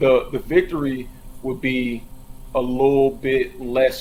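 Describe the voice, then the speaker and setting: An ordinary speaking voice, a man at medium pitch with an American accent. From US Midwest, North Minneapolis. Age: 30s. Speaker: army veteran. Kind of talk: casual chat.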